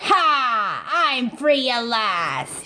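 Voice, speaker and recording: A put-on character voice, female-sounding and high-pitched, shouting. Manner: shouting, triumphant.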